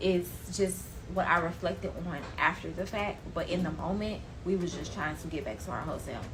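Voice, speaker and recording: Fairly slow speech from a woman, audible room echo around her words. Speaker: storytime vlogger. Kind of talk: storytime monologue.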